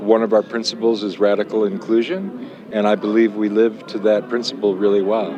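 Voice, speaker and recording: Fairly even male intonation set against noticeable background noise. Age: 70s. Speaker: festival board member. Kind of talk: field interview. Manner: halting.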